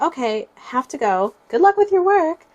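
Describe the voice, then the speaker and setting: A squeaky, female-sounding put-on character voice sits at an extremely high pitch for a woman and makes very wide pitch swings. The pace is moderate. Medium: read story.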